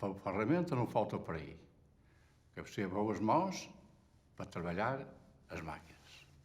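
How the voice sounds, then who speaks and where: A man talks at a fairly slow pace with a fairly low pitch and very wide pitch swings. Room echo is audible. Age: 70s. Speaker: retired textile factory worker. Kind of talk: testimony.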